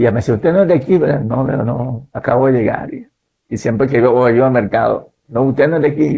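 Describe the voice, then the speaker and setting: Somewhat breathy and dark, mellow in tone, a man's voice sits at a medium pitch with ordinary pitch variation. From Nicaragua. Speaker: pastor and missionary. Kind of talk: interview, personal testimony. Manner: hesitant, repetitive fillers.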